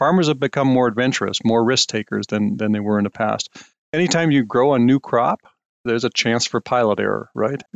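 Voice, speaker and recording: A man's medium-pitched, plain, everyday voice at a fairly quick pace, with ordinary pitch variation, a dry, close sound with no echo, and a quiet background. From Saskatchewan, Canada. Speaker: agricultural scientist. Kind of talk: interview.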